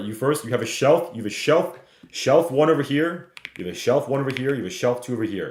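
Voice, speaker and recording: A man at a medium pitch and a very fast pace, with ordinary pitch variation and audible room echo. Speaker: stock trading streamer. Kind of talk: live market analysis webinar. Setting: livestream. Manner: loud; casual.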